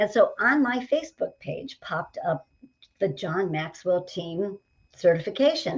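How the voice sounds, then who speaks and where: A somewhat breathy woman speaks with lively intonation. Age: 60s. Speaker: leadership coach. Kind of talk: casual interview. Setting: studio.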